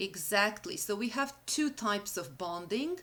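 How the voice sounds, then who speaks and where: A woman with a Serbian accent talks at a fairly slow pace, her pitch medium and her intonation lively. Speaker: university lecturer. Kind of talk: lecture. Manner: halting.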